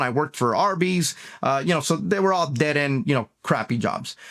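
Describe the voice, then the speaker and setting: A very clean recording with a silent background of a man with an American accent, fairly high in pitch, at a fairly quick pace with ordinary pitch variation. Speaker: motivational speaker. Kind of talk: unscripted motivational talk. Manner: casual, with many fillers.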